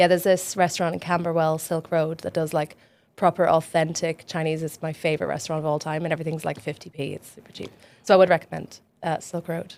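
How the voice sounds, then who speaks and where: A fairly low-voiced woman with an Irish accent, very fast, monotone and flat, with big swings in loudness. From west coast of Ireland. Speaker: charity fundraiser. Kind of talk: casual podcast interview.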